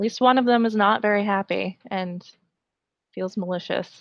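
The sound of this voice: A woman at medium pitch talks at a moderate pace with vocal fry and ordinary pitch variation, in a dry, close sound with no echo.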